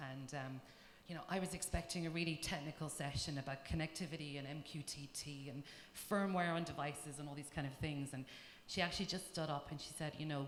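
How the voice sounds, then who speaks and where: A woman with an Irish accent talks at a very fast pace, her very deep, low voice keeping a fairly even intonation. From Ireland. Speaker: tech company engineering manager. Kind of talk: panel talk.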